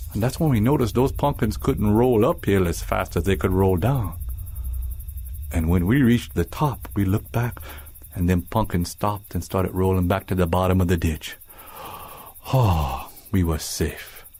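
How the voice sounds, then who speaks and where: With music in the background, a man speaks in a very deep, low voice with a Cajun accent. His intonation is lively, his pace moderate and his loudness very even. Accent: Cajun Louisiana English. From South Louisiana. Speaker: storyteller. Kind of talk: ghost story telling. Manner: folksy, colloquial.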